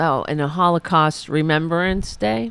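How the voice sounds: A woman's low-pitched voice at a slow pace, clear and smooth in tone, with vocal fry.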